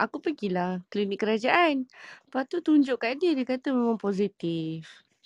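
Against a quiet background, a woman speaks at a fairly slow pace with very wide pitch swings, in a dry, close sound with no echo. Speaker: podcast participant. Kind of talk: casual chat.

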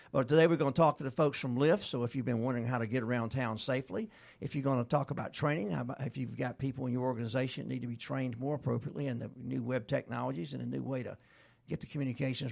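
A man talks at a very fast pace in a medium-pitched voice with vocal fry. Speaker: radio host. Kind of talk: casual interview chat. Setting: studio. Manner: friendly, chatty.

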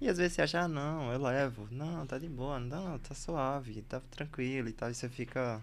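Speaking at a moderate pace with ordinary pitch variation, the voice comes through with audible room echo. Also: man. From Bahia and Recife, Brazil. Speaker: podcast host, anesthesiology resident. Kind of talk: casual chat.

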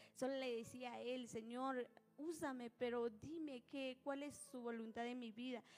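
Over noticeable background noise, a woman with a high pitch talks at a fairly slow pace. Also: fairly even intonation. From Guatemala, Nahualá (Sololá). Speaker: church minister and singer. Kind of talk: testimony. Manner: hesitant.

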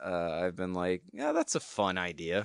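A man with a plain, everyday voice, lively intonation and an American accent, at a moderate pace over a quiet background. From US South. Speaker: filmmaker. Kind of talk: casual chat.

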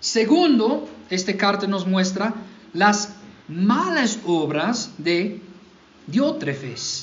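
American-accented male speech, heard with audible room echo. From US South, Mississippi. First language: English (speaking Spanish). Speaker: pastor. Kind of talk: sermon. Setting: church.

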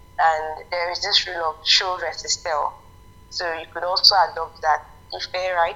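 Against noticeable background noise, a woman speaks in a fairly low, flat monotone. Her loudness swings a lot. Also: moderate pace. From Nigeria. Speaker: novelist and business owner. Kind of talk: interview.

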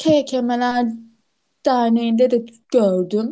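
A woman with a high-pitched voice talks at a very slow pace. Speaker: podcast co-host who stutters. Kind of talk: casual chat. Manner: frequent sound repetitions.

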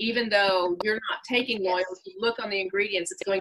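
An unremarkable speaking voice, its pitch varying in an ordinary way. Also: woman. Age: 50s. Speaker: wellness product user. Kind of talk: casual chat. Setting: video call.

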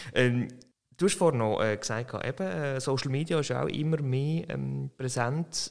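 With lively intonation and a medium pitch, a man speaks at a moderate pace in an ordinary speaking voice. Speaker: podcast host. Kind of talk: interview conversation.

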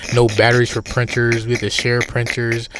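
Noticeable background noise surrounds a man's voice. He speaks at a very fast pace and a medium pitch. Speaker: podcast co-host. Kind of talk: casual chat. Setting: outdoors.

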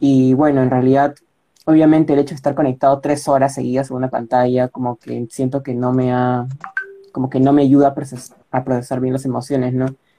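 A man's medium-pitched, monotone, flat delivery with music in the background. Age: 20s. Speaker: university student. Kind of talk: casual interview.

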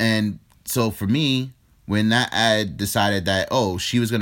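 A man with a New York accent speaks at fairly low pitch with ordinary pitch variation in a very clean recording over a silent background. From New York, the Bronx. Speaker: podcast co-host. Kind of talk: casual chat.

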